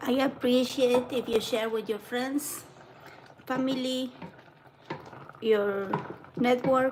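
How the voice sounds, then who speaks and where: Against noticeable background noise, a speaker with a non-native accent talks very slowly in a monotone, flat intonation with long, frequent pauses. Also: woman, high pitch for a woman. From Argentina. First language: Spanish. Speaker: home cooking livestreamer. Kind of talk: live cooking demo.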